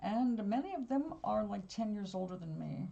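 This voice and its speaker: At a rather slow pace, a woman talks in a slightly breathy voice. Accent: American. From New York. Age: 70s. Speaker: live-stream host, artist and spiritual guide. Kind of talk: casual live-stream chat. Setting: home live stream.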